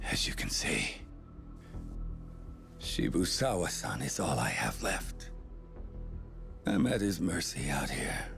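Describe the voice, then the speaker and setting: Loud music plays behind a man doing a put-on character voice. He speaks fairly slowly, with long, frequent pauses. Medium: short film. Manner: smug, sardonic.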